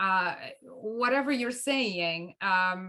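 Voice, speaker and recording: A woman speaks at a medium pitch with a Romanian accent. Her tone is bright and sharp. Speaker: co-host of a mediation show. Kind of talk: conversational discussion. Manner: halting, many restarts.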